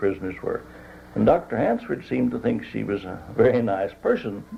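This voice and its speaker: There is noticeable background noise as a man with an American accent talks at a moderate pace. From West Virginia. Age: 70s. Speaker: retired teacher and war veteran. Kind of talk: oral history interview answer.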